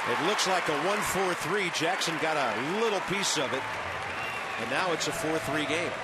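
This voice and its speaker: A man speaks at a moderate pace with an American accent. The sound is dry with no echo, but the background noise is loud. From US Midwest. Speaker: play-by-play announcer. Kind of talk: live baseball play-by-play commentary. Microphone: headset.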